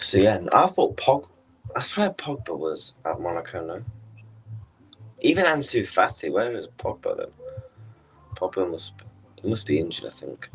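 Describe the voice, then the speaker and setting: A man speaks with a British accent. He leaves long, frequent pauses. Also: moderate pace. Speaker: football watchalong streamer. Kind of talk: live stream chat. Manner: casual, halting.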